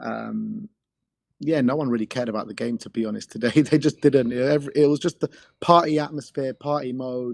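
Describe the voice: A man speaks at a moderate pace in a medium-pitched, croaky voice with vocal fry and fairly even intonation.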